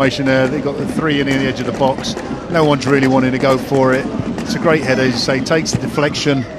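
A man talks very fast in a flat, monotone way against noticeable background noise. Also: medium pitch for a man. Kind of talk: sports commentary, co-commentator analysis. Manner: conversational, reflective, with hesitations and fillers.

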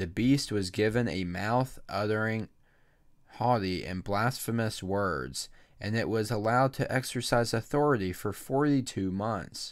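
A man's fairly low voice, fairly slow, with ordinary pitch variation and a quiet background. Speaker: church leader. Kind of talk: fervent prayer. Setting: church livestream. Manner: earnest, heartfelt; measured, reverent. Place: home room. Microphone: studio mic.

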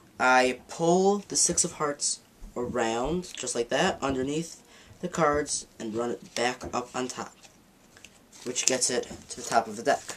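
Here a man speaks with ordinary pitch variation. Light background noise is audible. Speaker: magic teacher. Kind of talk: tutorial.

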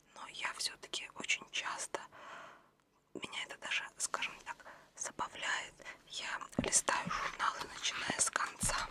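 A soft-spoken whisper comes at a fairly slow pace with long, frequent pauses. Noticeable background noise is present. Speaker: ASMR creator. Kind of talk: soft-spoken ASMR magazine show-and-tell. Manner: soft ASMR whisper.

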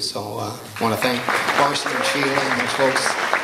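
Moderate-paced male speech with audible room echo and light background noise. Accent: General American. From Oregon. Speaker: master of ceremonies. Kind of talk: banquet speech with jokes. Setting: stage with audience. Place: hall. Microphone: handheld.

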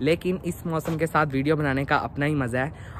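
A man's monotone, flat delivery at a moderate pace, dry with no echo, over light background noise. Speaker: vlogger. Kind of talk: casual vlog chat. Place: street. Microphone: phone near.

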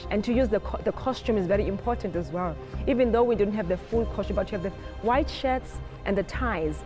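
A woman rattles off her words very fast while clear music plays behind her. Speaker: choreographer. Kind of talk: interview answer. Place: hall. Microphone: lapel.

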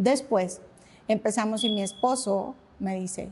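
A woman speaks with a fairly high pitch, a dark, mellow tone and ordinary pitch variation. Her voice is somewhat breathy, with light background noise behind it. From Mexico, Saltillo; Mexico. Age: 50s. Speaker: pilates studio founder and instructor; instructor. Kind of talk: casual interview conversation. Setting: her pilates studio. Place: studio.

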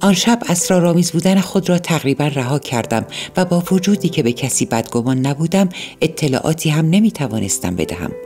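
Very wide pitch swings mark speech at a moderate pace, with music in the background. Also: woman. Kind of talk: audiobook narration of a novel (night story).

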